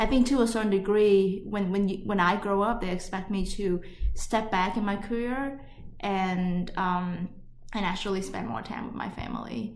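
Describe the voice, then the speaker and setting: Over noticeable background noise and audible room echo, a woman talks with a Vietnamese accent and fairly even intonation. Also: medium pitch for a woman, moderate pace. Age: 30s. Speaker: podcast co-host. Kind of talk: casual chat. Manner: hesitant, many fillers.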